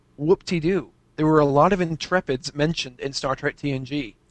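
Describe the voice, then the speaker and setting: Fairly high in pitch, a man with an American accent speaks with fairly even intonation. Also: dry, close sound with no echo. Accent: slight English-tinged American. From US. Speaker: fan and aspiring writer. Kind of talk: casual interview chat. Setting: video/voice call over Skype.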